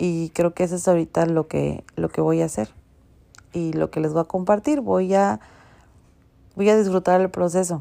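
A woman's fairly low-pitched, dark, mellow voice at a moderate pace, with ordinary pitch variation and long, frequent pauses, in a dry, close sound with no echo and a very clean recording with a silent background. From Mexico City. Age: 30s. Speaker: podcast host. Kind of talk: casual monologue.

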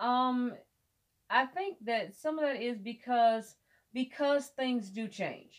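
Someone with an American accent talks at a very slow pace, using ordinary pitch variation. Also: woman, high pitch for a woman. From US Midwest, Michigan. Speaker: teacher. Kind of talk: interview.

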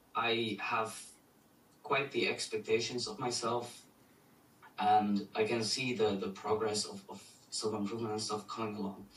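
A man's medium-pitched, monotone, flat delivery at a moderate pace, with long, frequent pauses and noticeable background noise. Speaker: student caller. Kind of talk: Q&A question. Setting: video call.

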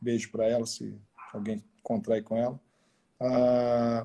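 This man's voice is somewhat breathy. His tone is dark and mellow. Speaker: podcast host, former radio presenter. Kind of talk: casual interview. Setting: at home during quarantine. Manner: animated.

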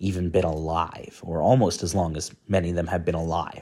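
On a very clean recording with a silent background, a man with a Canadian accent speaks in a dark, mellow tone. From Canada. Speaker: academic and coin expert. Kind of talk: solo monologue vlog. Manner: casual, conversational with fillers.

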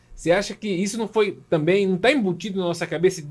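A man talks at a fairly quick pace. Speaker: pastor, podcast host. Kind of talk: casual interview chat.

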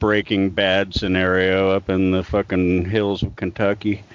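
Here a man has an unremarkable speaking voice, fairly low in pitch, and he moves at a fairly slow pace. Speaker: podcast host. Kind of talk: casual drunken chat.

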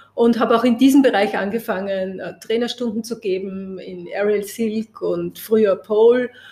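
Fairly high in pitch, a woman's unremarkable speaking voice holds fairly even intonation but shows big swings in loudness. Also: moderate pace, hardly any pauses. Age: 50s. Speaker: press photographer. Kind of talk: interview conversation.

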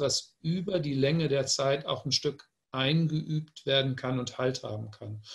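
Somewhat breathy, this man's voice sits fairly high in pitch and moves at a fairly slow pace. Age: 60s. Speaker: publisher. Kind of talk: panel discussion.

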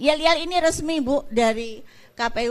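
A woman speaks with ordinary pitch variation. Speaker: election commission chair. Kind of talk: public talk to students. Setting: stage with audience. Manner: animated.

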